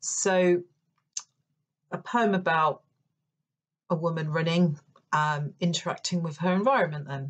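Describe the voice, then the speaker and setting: Speaking with a London accent, a woman with a fairly low, somewhat breathy voice goes at a fairly slow pace with fairly even intonation. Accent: non-Yorkshire accent, London. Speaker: poet and creative writing lecturer. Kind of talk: poetry reading with commentary.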